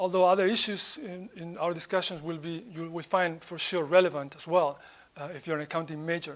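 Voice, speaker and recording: Speaking at a fairly quick pace in a high pitch, a man keeps fairly even intonation but shows big swings in loudness. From Spain. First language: Spanish. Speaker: professor. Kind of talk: lecture.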